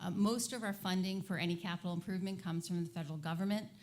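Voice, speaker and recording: A woman with a fairly low pitch rushes along at a very fast pace, somewhat breathy and with fairly even intonation. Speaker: airport commission member. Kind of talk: public meeting presentation. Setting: town meeting.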